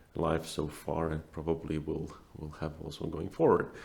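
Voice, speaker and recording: A man's very deep, low voice with a Latvian accent, somewhat breathy, at a moderate pace. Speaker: asset manager. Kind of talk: interview. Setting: room with open windows. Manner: halting.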